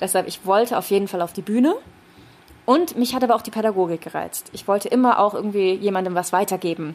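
Her loudness swinging widely, a woman speaks at a very fast pace. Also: medium pitch for a woman, ordinary pitch variation. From Rhineland, Germany (Düren). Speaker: speech trainer. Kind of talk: casual chat. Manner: animated.

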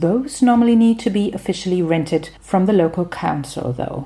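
A woman's somewhat breathy, medium-pitched voice with a dark, mellow tone. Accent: German. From Germany. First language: German. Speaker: podcaster, language and culture commentator. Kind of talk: scripted narration.

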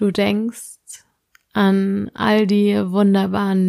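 Recorded very cleanly against a silent background, a woman speaks in a gentle, calm tone that is also dark and mellow. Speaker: meditation guide. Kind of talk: guided meditation, sleep-inducing. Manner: slow, soft-spoken, soothing with long pauses; gentle, calm, hypnotic.

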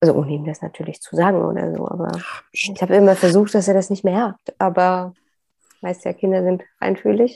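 A woman speaks at a fairly quick pace with a dark, mellow tone and vocal fry. Her pitch is medium, with ordinary variation. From Saxony, Upper Lusatia (eastern Germany). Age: 40s. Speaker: process consultant and coach. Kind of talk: personal interview about grief.

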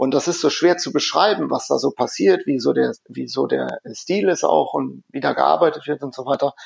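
At a moderate pace, the voice sounds dry and close, without any echo. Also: man. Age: 40s. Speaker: software company innovation lab head. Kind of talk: interview. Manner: hesitant with many fillers.

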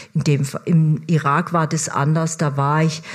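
A woman with a fairly low voice speaks at a very slow pace. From Germany. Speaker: foreign correspondent. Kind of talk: stage interview. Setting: stage with audience.

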